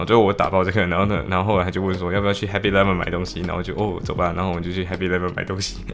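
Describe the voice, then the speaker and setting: A man with a very deep, low pitch speaks at a very fast pace in a monotone, flat intonation, with hardly any pauses. Noticeable background noise is present. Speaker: law student podcaster. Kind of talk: casual solo diary podcast.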